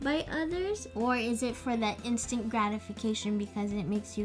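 A woman speaks at a moderate pace. Faint music plays in the background. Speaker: vlogger. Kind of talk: casual vlog chat.

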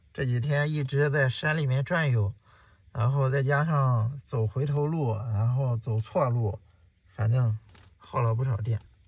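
A man with a somewhat breathy voice talks at a fairly slow pace with ordinary pitch variation and very even loudness, in a dry sound with no echo. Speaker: travel vlogger. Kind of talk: casual vlog chat. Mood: worried about battery and slopes. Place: motorbike. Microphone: phone near.

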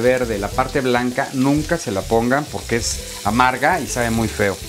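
A man talks at a moderate pace while noticeable background noise plays behind him. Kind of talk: cooking tutorial. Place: kitchen. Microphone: lapel.

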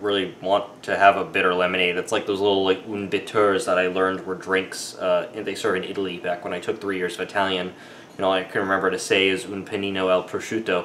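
Fairly low male pitch at a fairly quick pace, with light background noise. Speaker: drink reviewer. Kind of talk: casual vlog chat. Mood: relaxed, mildly ranting. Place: kitchen. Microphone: camera far.

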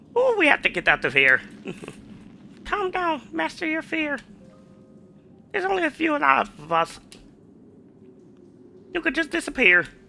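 Putting on a character voice at an extremely high pitch, a man speaks at a moderate pace with long, frequent pauses. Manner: urgent, warning.

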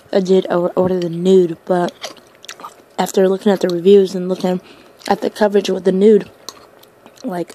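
A woman speaks in a flat, monotone intonation, with dry sound free of echo and light background noise. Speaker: ASMR eater. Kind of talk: ASMR eating video. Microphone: phone near.

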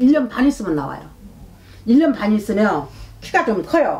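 A woman speaking in an animated tone. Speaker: fortune teller. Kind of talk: fortune-telling reading. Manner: loud. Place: home room. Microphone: camera far.

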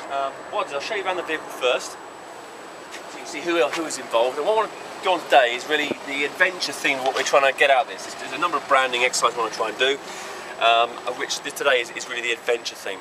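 Over noticeable background noise, a man speaks at a very fast pace with big swings in loudness. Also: ordinary pitch variation. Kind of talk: casual show-and-tell. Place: street. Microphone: phone near.

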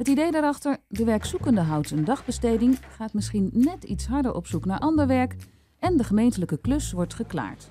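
Light background noise sits behind the voice. A woman speaks at a moderate pace. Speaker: TV presenter. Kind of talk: TV debate show presenting. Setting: studio in a museum.

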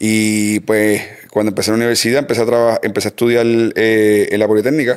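Over a quiet background, a man talks fairly quickly in a fairly low pitch with monotone, flat intonation. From Puerto Rico. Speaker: mechanic and speed shop owner; podcast guest. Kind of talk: casual chat. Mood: relaxed, nostalgic. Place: garage. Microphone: studio mic.

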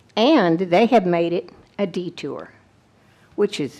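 Using a Texan accent, a woman talks at a very slow pace with a fairly low pitch and ordinary pitch variation. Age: 80s+. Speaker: retired teacher, resident addressing county officials. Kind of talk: public comment at a meeting.

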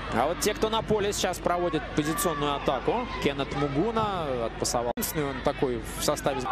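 A man speaks at a fairly quick pace in an animated tone with lively intonation. There is noticeable background noise. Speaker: football commentator. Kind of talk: live sports commentary, breathless play-by-play in step with the action. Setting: stadium broadcast. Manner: animated, fast, excitable; shifts to alarm at errors.

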